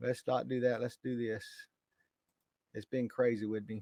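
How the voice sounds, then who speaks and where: Recorded with a dry, close sound and no echo, a man speaks at a moderate pace. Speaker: correctional officer and YouTuber. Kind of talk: live stream talk. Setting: live stream. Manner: loud; casual, halting with fillers.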